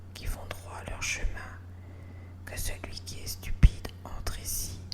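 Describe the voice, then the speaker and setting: Through noticeable background noise, a woman whispers at a very slow pace. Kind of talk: whispered Bible reading. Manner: whispered, soft.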